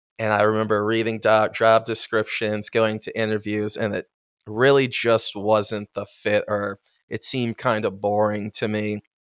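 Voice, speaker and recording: Speaking with an American accent, a man at fairly low pitch keeps a monotone, flat intonation and a moderate pace, recorded very cleanly against a silent background in a dry, close sound with no echo. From western New York (Buffalo, Amherst). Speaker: marketing coordinator. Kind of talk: casual interview.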